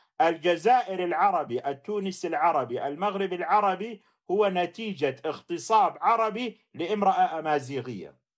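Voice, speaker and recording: This man has a high pitch and lively intonation. He talks very slowly yet with hardly any pauses. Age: middle-aged. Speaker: livestream host, critic of Islamic law. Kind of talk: livestream debate with callers. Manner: animated.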